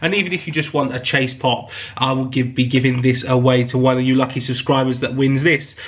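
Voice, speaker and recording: Over noticeable background noise, a man talks at a fairly quick pace and medium pitch. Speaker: YouTube collector channel host. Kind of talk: casual giveaway announcement to viewers. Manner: warm, grateful, enthusiastic.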